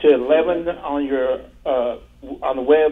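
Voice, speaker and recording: Fairly even intonation from a man with an American accent. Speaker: caller. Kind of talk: phone-in conversation. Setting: phone call. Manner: halting.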